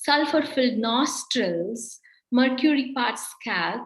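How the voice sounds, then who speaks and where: With a Kannada accent, a woman speaks at a very slow pace in a high pitch that varies in an ordinary way. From India, Karnataka. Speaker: poet. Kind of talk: poetry reading.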